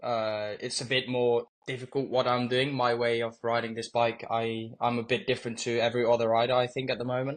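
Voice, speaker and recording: A man at a fairly quick pace, monotone and flat in intonation, with hardly any pauses. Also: medium pitch for a man. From Netherlands. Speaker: motorcycle racer. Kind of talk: interview answers.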